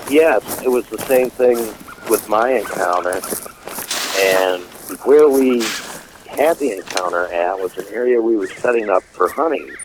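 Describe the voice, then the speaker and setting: Amid noticeable background noise, a man with an American accent and medium pitch talks at a fairly slow pace with lively intonation and long, frequent pauses. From Michigan, US. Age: 60s. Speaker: war veteran and mechanic. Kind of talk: interview testimony.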